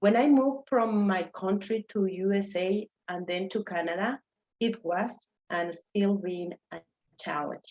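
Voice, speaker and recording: A woman speaks at a medium pitch with a Mexican accent. Her pace is fairly slow, with ordinary pitch variation. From Mexico City. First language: Spanish. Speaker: immigrant speaker, geologist. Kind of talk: personal story talk.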